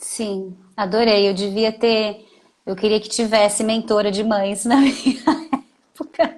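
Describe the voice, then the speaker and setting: With a fairly high pitch and fairly even intonation, a woman speaks with long, frequent pauses. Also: fairly slow pace. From São Paulo, Brazil. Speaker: podcast host, mother. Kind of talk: casual chat.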